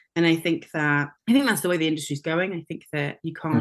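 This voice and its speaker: With a Welsh accent, a woman talks very fast in a very deep, low pitch, using lively intonation. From Wales. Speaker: theatre maker and director. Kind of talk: casual interview chat.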